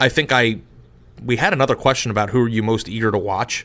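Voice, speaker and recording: Speaking with an American accent, a man of medium pitch uses fairly even intonation and a bright, sharp tone. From Arizona. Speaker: sports podcast co-host. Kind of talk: casual chat.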